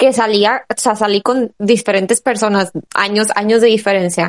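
This is a normal speaking voice at a moderate pace. The sound is dry and close, with no echo. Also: woman. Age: 20s. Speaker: podcast host. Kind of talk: casual chat.

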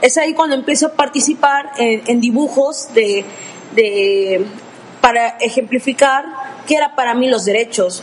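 Against noticeable background noise, a woman with a high pitch talks at a fairly slow pace with ordinary pitch variation. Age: 20s. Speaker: law student. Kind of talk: podcast discussion.

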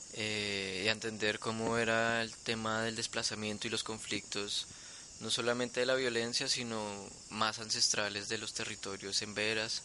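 The speaker delivers the words in a monotone, flat intonation at a fairly slow pace. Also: man, medium pitch for a man. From Colombia, Bogotá. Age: young. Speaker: artist. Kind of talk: interview conversation. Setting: home studio in the jungle. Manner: hesitant with fillers.

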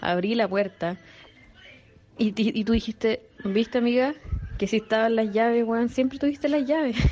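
In a Chilean accent, a woman speaks at a fairly high pitch with ordinary pitch variation, very even loudness, and long, frequent pauses. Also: moderate pace. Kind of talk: casual chat. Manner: animated.

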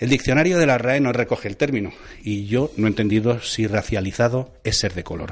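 A man talks at a fairly quick pace in a normal speaking voice. His pitch is medium, with ordinary variation. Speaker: radio host. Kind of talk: casual news commentary.

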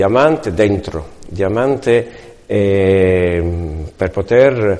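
A man's fairly low voice with lively intonation. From Italy. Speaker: retired hairdresser turned direct-sales distributor. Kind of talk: testimony. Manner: halting.

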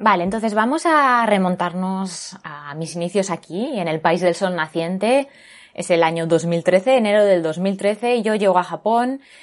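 A woman at a medium pitch, speaking at a fairly slow pace. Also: ordinary pitch variation. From Spain, Barcelona. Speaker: podcast host. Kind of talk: casual chat.

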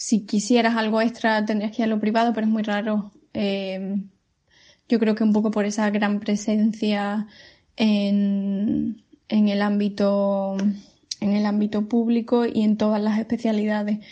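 Somewhat breathy and dark, mellow in tone, a woman with a fairly high pitch speaks at a fairly slow pace with monotone, flat intonation and very even loudness. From Spain, Seville. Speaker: pediatric physiotherapist. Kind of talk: recorded testimony.

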